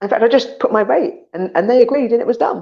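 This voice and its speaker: She has an English accent and speaks at a very fast pace. Vocal fry runs through the woman's voice. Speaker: online show host and commercial actor. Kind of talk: casual solo livestream talk. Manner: animated.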